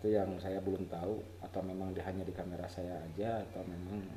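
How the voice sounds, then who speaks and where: A man with a West Javanese accent, very deep and low in pitch, somewhat breathy, dark and mellow in tone, at a fairly quick pace, with audible room echo. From West Java, Sundanese (Garut). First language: Sundanese (speaking Indonesian). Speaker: photographer, camera tutorial youtuber. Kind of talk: tutorial. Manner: halting, self-correcting; casual, informal.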